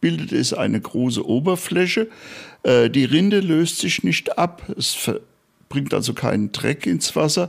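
Fairly slow speech with very wide pitch swings from a man pitched fairly high. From Germany, Bad Orb (Hesse, Spessart). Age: 70s. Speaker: night watchman tour guide. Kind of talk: interview. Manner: hesitant with frequent fillers.

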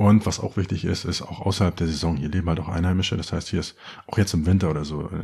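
A man with a very deep, low voice. He talks very fast, with ordinary pitch variation. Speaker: podcast host. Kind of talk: solo podcast monologue. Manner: casual, joking.

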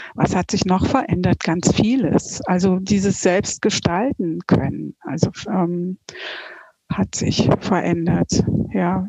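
The sound is dry and close with no echo. A woman talks at a very slow pace. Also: medium pitch for a woman, ordinary pitch variation. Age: 50s. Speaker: coaching client. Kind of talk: interview testimony.

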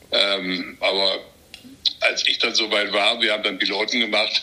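Noticeable background noise accompanies a man whose speech keeps a moderate pace. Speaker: retired TV sports reporter and boxing commentator. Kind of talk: casual chat. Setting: remote call.

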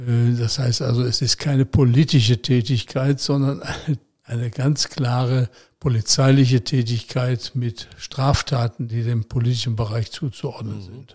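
In a dry, close sound with no echo, a man speaks at a fairly slow pace with a medium pitch, somewhat breathy and with fairly even intonation. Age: 80s+. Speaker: retired politician and former police detective. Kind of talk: interview.

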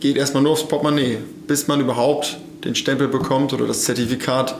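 Over noticeable background noise and audible room echo, a man with a fairly high pitch talks at a moderate pace in a monotone, flat intonation. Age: 20s. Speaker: farmer and agriculture student. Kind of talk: interview. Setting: on the farm.

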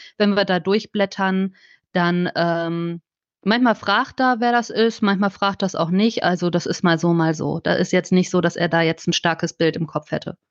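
In a quiet background with a dry, close sound and no echo, a woman uses a normal speaking voice at a medium pitch, a moderate pace and fairly even intonation. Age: 30s. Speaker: children's book author and journalist. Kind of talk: casual interview.

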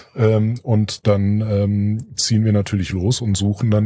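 The tone is dark and mellow, somewhat breathy. Intonation stays monotone and flat. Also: man. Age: 40s. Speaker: association board member, IT entrepreneur. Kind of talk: interview. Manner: hesitant with many filler sounds.

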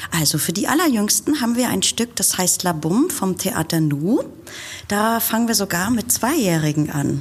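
A woman at a moderate pace with very wide pitch swings and very even loudness, over noticeable background noise. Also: medium pitch for a woman. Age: 50s. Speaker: puppet theatre festival director. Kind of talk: interview.

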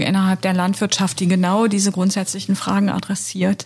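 The woman's voice is somewhat breathy. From Lower Saxony. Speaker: podcast host and member of parliament. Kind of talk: podcast interview. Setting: studio in party office.

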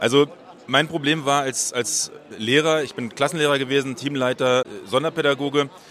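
At a moderate pace, a man with a fairly high pitch and fairly even intonation speaks in an unremarkable speaking voice. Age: 40s. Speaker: special education teacher and startup founder. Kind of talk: interview. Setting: recorded on site at an education congress.

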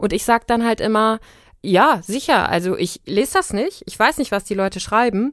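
Lively intonation from a woman at fairly high pitch, very clean recording with a silent background. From Germany, Siegen. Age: 30s. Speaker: freelance journalist. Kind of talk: interview.

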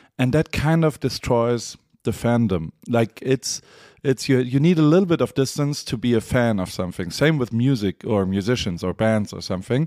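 In a German accent, a man speaks at a moderate pace with a dark, mellow tone and a medium pitch, the sound dry and close with no echo. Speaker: podcast host. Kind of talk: interview. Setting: remote call.

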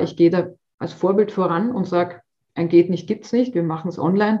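This woman has an ordinary speaking voice, fairly low in pitch, talking at a fairly quick pace with fairly even intonation. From Austria. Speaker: personal trainer. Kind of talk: interview.

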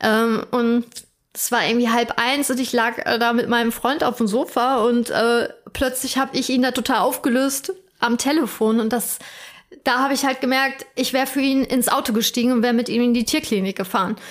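A woman at high pitch talks at a moderate pace, with fairly even intonation and very even loudness. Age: 30s. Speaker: podcast co-host. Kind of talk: casual chat.

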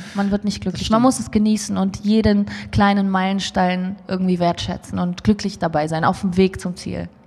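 Noticeable background noise sits behind a woman's medium-pitched voice. She speaks at a moderate pace with fairly even intonation. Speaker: musician. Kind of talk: casual interview.

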